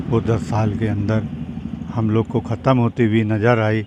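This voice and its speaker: A man talks at a medium pitch while noticeable background noise runs underneath. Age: 70s. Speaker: local resident interviewed on the street. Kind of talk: street interview.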